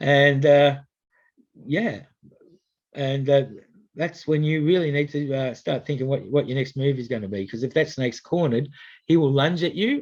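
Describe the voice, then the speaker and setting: A man in an Australian accent, at a fairly high pitch with ordinary pitch variation and long, frequent pauses. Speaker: snake catcher. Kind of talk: public information talk. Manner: fast; hesitant, many fillers.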